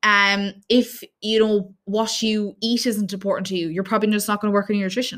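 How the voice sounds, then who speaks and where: Speaking fairly quickly in an Irish accent, a woman keeps a medium pitch and a monotone, flat intonation on a very clean recording with a silent background. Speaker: fitness coach and podcast host. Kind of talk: solo podcast talk with tips. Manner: fast.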